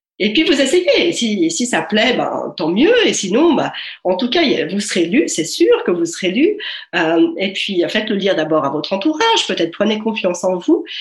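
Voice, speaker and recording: Audible room echo surrounds the recording. A woman speaks with very wide pitch swings. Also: medium pitch for a woman, moderate pace. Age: 40s. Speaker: author and life coach. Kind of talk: interview. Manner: hesitant, many filler sounds.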